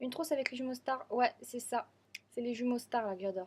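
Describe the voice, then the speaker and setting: Talking very fast, a woman uses a high pitch. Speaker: vlogger. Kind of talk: casual vlog.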